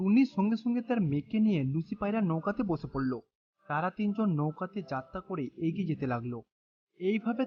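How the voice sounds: A woman with a fairly low pitch and a slightly husky edge speaks at a moderate pace with lively intonation.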